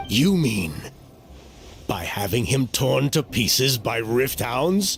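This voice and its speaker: Putting on a character voice, a man speaks at a fairly slow pace and medium pitch over clear background noise. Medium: video game. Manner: formal, measured.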